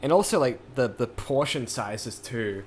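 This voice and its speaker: A man speaks at a medium pitch with a New Zealand accent and ordinary pitch variation. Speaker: music producer streamer. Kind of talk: casual livestream chat. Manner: rambling, many fillers.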